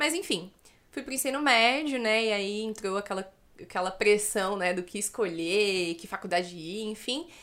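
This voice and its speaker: An ordinary speaking voice at a moderate pace. The intonation is lively. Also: woman, medium pitch for a woman. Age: 20s. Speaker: social worker. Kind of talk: casual interview chat.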